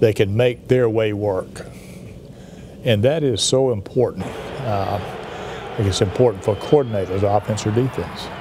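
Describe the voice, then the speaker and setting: A man speaks at a fairly slow pace with a fairly low pitch. Noticeable background noise runs underneath. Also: ordinary pitch variation. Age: 70s. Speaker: university athletics director. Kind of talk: interview. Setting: sit-down TV interview. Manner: halting.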